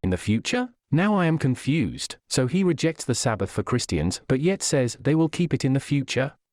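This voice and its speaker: With an ordinary speaking voice, a fairly high-pitched man talks at a moderate pace with lively intonation, hardly any pauses and very even loudness, in a dry, close sound with no echo and a very clean recording with a silent background. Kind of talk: dramatized religious commentary voice-over.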